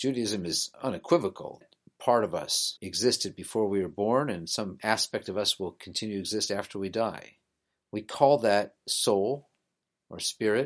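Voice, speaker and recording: This man has an ordinary speaking voice, fairly low in pitch with ordinary variation, talking at a moderate pace over a quiet background. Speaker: rabbi and podcast host. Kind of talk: scripted-style educational podcast monologue. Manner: earnest, conversational, explanatory.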